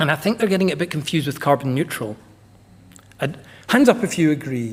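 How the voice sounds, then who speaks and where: A man with a slight Scottish accent talks at a very fast pace in a fairly high voice, his intonation lively. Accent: slight Scottish lilt. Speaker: energy management consultant. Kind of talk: conference presentation. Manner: casual, animated.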